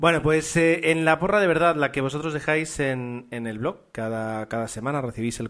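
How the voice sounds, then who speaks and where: A man with a Spanish accent at a moderate pace, medium in pitch, with ordinary pitch variation. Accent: Spain Spanish. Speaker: podcast host. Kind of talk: casual chat.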